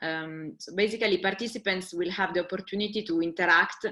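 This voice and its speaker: Speaking with a strong Italian accent at a fairly quick pace, a woman keeps a fairly low pitch and fairly even intonation. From Italy. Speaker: webinar co-host, music industry organizer. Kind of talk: webinar presentation. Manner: halting.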